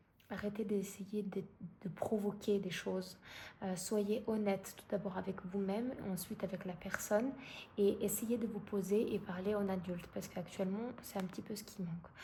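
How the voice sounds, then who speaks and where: A woman with a medium pitch and a dark, mellow, somewhat breathy tone speaks at a fairly slow pace. Her intonation is monotone and flat, with audible room echo. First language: not French (speaking French). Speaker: tarot card reader. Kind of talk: tarot reading. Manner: halting, many fillers.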